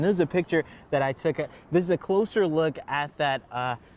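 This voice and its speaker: The man talks at a moderate pace with ordinary pitch variation. Noticeable background noise can be heard. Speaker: multimedia journalist. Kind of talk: TV news reporter. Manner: live, fluid delivery.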